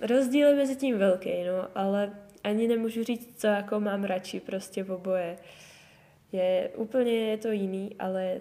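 A woman talks at a moderate pace with fairly even intonation. Noticeable background noise can be heard. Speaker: winter swimmer. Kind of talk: interview. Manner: casual, filler-heavy speech.

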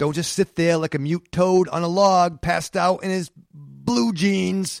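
On a very clean recording with a silent background, a man's voice is high in pitch. He sounds animated and speaks at a fairly slow pace. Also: dry, close sound with no echo. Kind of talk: character voice acting in a story. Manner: sarcastic, indignant and animated; laughs at his own flubs.

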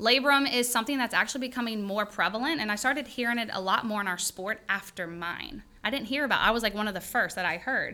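Talking at a very fast pace with hardly any pauses, a woman with a Louisiana accent has a fairly high pitch, a bright, sharp tone and ordinary pitch variation. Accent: Louisiana Southern. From Louisiana, Denham Springs. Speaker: chiropractor. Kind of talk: casual chat.

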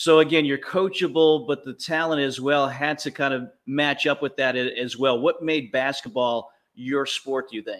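Using a normal speaking voice, a man with a fairly high pitch and fairly even intonation talks with hardly any pauses on a very clean recording with a silent background. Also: moderate pace. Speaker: podcast host.

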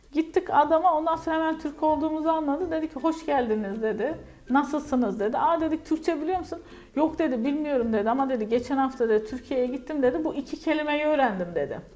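Amid noticeable background noise, a woman with a high voice and lively intonation speaks at a very fast pace. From Turkey, Kahramanmaraş. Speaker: English lecturer. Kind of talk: interview.

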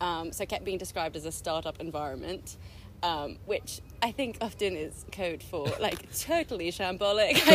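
At a moderate tempo, a woman talks in a fairly low register with ordinary pitch movement, a normal speaking voice. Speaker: former teacher. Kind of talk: casual chat. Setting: outdoors.

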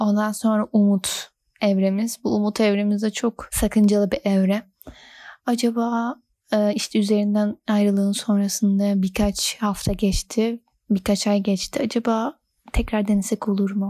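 In a very clean recording with a silent background and a dry, close sound with no echo, a woman speaks at medium pitch, somewhat breathy and dark and mellow in tone, in a monotone, flat intonation, at a fairly slow pace and very even loudness. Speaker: podcast host. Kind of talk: casual monologue. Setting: recording at home late at night. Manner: radio-presenter style.

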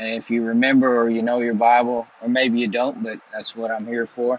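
A man talks at a moderate pace, his pitch sitting in the medium range.

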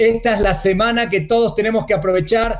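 A man's high voice moves at a moderate pace and varies in pitch in an ordinary way. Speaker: online show co-host. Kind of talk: casual chat.

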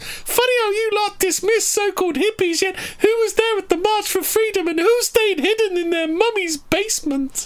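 An extremely high-pitched put-on character voice at a moderate pace, with hardly any pauses. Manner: mocking, sneering.

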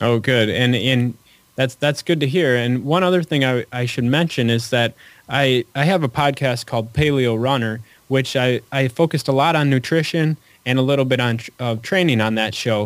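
In an unremarkable speaking voice, a man talks at a moderate pace and medium pitch with ordinary pitch variation. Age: 30s. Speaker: running author. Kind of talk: casual interview. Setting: phone call.

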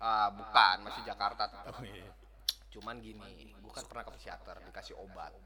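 A man with a Sundanese accent speaks at a moderate pace, with big swings in loudness. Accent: Sundanese-accented Indonesian. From West Java, Indonesia. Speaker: former drug user. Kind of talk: casual chat.

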